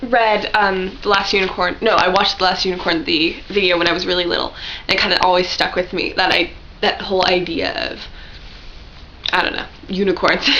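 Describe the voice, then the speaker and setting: A woman of medium pitch at a fairly quick pace, over noticeable background noise. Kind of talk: casual vlog talk to camera. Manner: fast, rambling.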